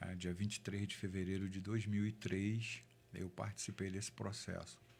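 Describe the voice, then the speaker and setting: A man with a normal speaking voice talks at a moderate pace, his fairly low pitch carrying fairly even intonation. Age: 60s. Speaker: city councillor. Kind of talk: interview testimony.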